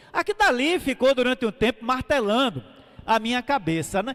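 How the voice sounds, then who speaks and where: A man with an extremely high voice talks at a moderate pace in a dry, close sound with no echo. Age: 60s. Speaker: pastor. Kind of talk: testimony. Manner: conversational.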